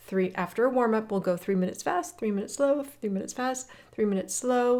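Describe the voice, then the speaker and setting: On a very clean recording with a silent background, a woman with an unremarkable speaking voice talks in a fairly high pitch with lively intonation. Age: 60s. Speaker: fitness coach. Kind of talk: guided workout walk talk. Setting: outdoors on a hiking trail. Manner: casual, encouraging.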